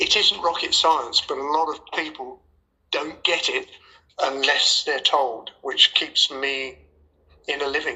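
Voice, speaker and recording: With an English accent, a man talks at a fairly slow pace. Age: 80s+. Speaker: former racing driver and driving coach. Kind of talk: casual interview.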